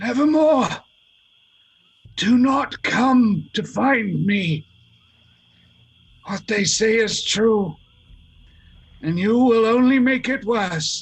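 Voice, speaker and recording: In a put-on character voice, a man with a high pitch sounds hoarse and croaky, speaking very slowly with long, frequent pauses. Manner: warning, desperate.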